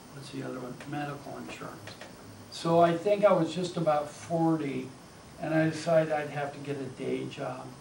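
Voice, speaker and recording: A man with a fairly high pitch talks at a moderate pace, his loudness swinging widely. Audible room echo and noticeable background noise come through. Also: fairly even intonation. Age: 60s. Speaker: artist and poet giving a talk. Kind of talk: informal talk with Q&A. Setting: college talk with audience. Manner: casual, conversational.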